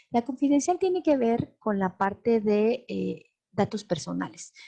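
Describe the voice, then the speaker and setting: A woman speaks at a fairly slow pace, her fairly high voice somewhat breathy. Her tone is dark and mellow, and the sound is dry and close without echo. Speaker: law lecturer. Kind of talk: lecture. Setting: live webinar.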